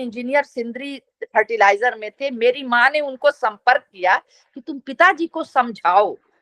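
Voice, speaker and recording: A woman in a Bihari accent speaks at a high pitch with a bright, sharp tone and lively intonation, in a dry, close sound with no echo. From Bihar, Bhojpuri region, India. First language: Bhojpuri (speaking Hindi). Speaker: media professor. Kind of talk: interview.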